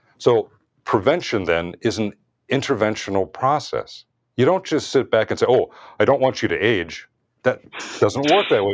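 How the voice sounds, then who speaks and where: A man with an American accent talks at medium pitch and a moderate pace, with vocal fry and very wide pitch swings. There are long, frequent pauses, and the background is quiet. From US, Washington DC. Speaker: cardiologist. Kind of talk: interview.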